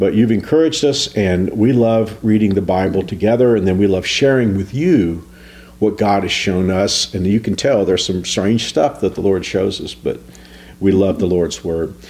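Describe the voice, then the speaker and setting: A fairly low-pitched man's voice at a moderate pace, with ordinary pitch variation and noticeable background noise. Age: 60s. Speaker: pastor. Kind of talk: devotional talk.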